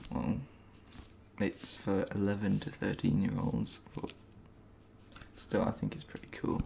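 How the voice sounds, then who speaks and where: A man talks in a fairly low voice at a fairly slow pace. Noticeable background noise runs under him. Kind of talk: ASMR book haul talk to camera. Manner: soft-spoken.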